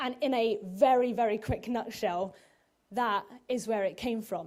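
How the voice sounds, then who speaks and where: At a fairly slow pace, a woman speaks in a plain, everyday voice with a fairly high pitch and ordinary pitch variation. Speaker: preacher. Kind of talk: sermon.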